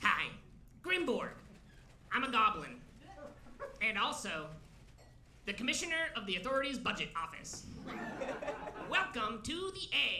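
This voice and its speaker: A put-on character voice at a fairly high pitch swings very widely in pitch, with long, frequent pauses. Clear background noise is present. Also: moderate pace. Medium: stage play. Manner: deadpan, monotone listing.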